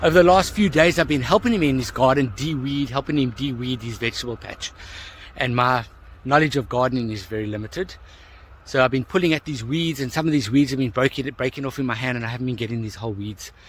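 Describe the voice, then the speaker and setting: A man talks very fast in a somewhat breathy voice, his pitch varying in an ordinary way. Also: medium pitch for a man. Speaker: coach. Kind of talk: casual talk to camera. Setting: outdoors.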